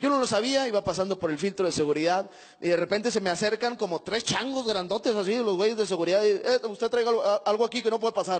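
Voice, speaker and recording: Very fast in pace and animated in tone, the voice keeps very even loudness and ordinary pitch variation over a quiet background. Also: man, high pitch for a man. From Mexico, Monterrey. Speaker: stand-up comedian. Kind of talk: stand-up. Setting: stage with audience. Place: stage. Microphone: handheld.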